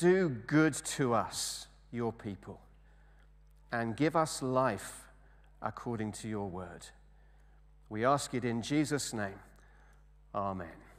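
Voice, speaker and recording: At a very slow pace with long, frequent pauses, a man speaks in an English accent. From England. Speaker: service leader. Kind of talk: church service hosting. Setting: church. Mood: calm, reverent. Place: church.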